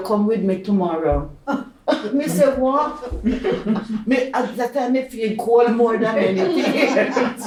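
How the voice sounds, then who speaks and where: In a Jamaican accent, a woman speaks very slowly at a fairly high pitch with lively intonation, amid audible room echo and noticeable background noise. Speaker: pensioner. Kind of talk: oral history interview.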